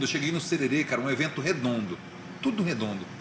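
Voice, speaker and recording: Noticeable background noise sits behind a man whose fairly high voice makes very wide pitch swings. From Brazil, Goiânia (Goiás). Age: 40s. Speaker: journalist and radio host. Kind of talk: casual interview chat.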